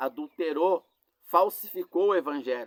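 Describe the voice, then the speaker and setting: Recorded with a dry, close sound and no echo, the speech moves at a fairly slow pace with ordinary pitch variation. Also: man. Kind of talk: sermon. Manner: halting.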